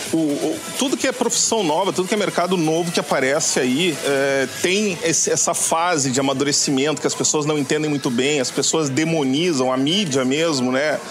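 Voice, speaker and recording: With audible room echo and noticeable background noise, a man speaks at a fairly high pitch and a moderate pace, his loudness very even and his speech broken by hardly any pauses. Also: ordinary pitch variation. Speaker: drone youtuber. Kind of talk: casual chat.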